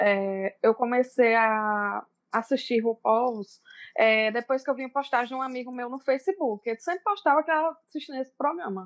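A woman's high-pitched voice with a Paraíba accent, lively intonation and big swings in loudness, dry and close with no echo against a quiet background. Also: moderate pace. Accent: Northeastern Brazilian (Paraíba). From Brazilian Northeast, Cajazeiras, Paraíba. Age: 30s. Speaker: makeup and self-esteem influencer. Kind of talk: casual chat.

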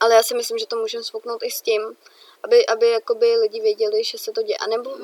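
A woman talks at a very fast pace. The sound is dry and close with no echo, yet noticeable background noise remains. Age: young. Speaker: podcast co-host. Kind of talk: casual chat.

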